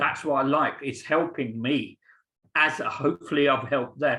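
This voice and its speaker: With an English accent, a man speaks at a moderate pace in a fairly high pitch. His tone is bright and sharp, and his intonation stays fairly even. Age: 60s. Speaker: teacher. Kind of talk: Q&A answer in webinar. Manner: halting.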